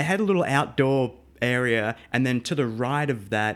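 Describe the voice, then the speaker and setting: The speaker has an Australian accent and a fairly slow pace. The recording is very clean, with a silent background. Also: man. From Australia, Melbourne. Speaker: live sound engineer. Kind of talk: casual interview.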